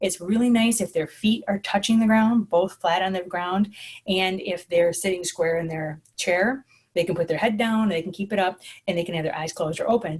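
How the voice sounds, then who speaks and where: The voice is somewhat breathy, with ordinary pitch variation. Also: woman, medium pitch for a woman. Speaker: school social worker. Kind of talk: conference presentation. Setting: online presentation with screen share. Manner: fast.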